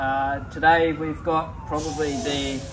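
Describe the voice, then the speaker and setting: Noticeable background noise is present throughout. Over it, a man talks with ordinary pitch variation. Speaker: presenter. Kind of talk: product walkthrough. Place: street.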